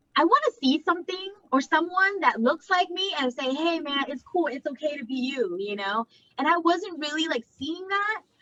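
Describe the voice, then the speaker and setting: A woman's raised, projected voice, high and bright with a sharp tone, animated and lively in intonation, with an American accent at a moderate pace in a dry, close sound with no echo. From Laotian American. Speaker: content creator. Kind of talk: casual interview chat. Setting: live video chat. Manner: animated, filler-heavy casual speech.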